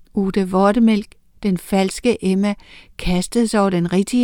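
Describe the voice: Fairly even intonation in plain reading aloud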